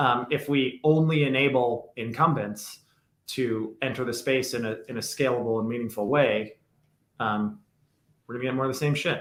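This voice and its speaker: Ordinary pitch variation from a man. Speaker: crypto podcast co-host. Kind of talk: casual podcast discussion. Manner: fast; animated.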